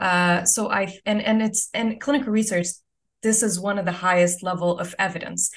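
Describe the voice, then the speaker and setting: A woman with an Arabic accent. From Saudi Arabia, Eastern Province. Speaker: physician-scientist. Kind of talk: interview.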